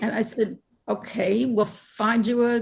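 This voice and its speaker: A somewhat breathy woman's voice, fairly high in pitch, with fairly even intonation. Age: 70s. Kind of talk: panel discussion.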